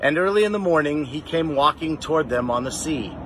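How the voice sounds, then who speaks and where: The recording sounds dry, with no echo, and carries light background noise. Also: man. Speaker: lay scripture reader. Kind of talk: scripture reading. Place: garden. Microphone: phone near.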